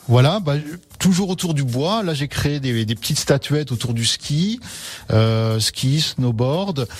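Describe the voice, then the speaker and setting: A man speaks at a very slow pace with a fairly high, somewhat breathy voice. His intonation is lively. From French Alps, Haute-Savoie. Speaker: mountain guide and artisan. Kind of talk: radio interview. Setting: radio studio. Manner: hesitant, many fillers.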